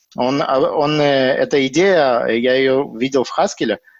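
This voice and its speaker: The speaker's pitch varies in an ordinary way, and the sound is dry and close with no echo. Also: man. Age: 30s. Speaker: software developer. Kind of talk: casual chat. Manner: halting.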